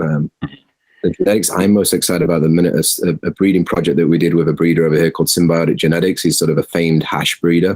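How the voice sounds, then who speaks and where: Very fast and in a Yorkshire accent, a man speaks with a very deep, low pitch and fairly even intonation. His loudness stays very even, and the sound is dry and close with no echo. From Yorkshire, England. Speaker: cannabis farm executive. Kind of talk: interview answer.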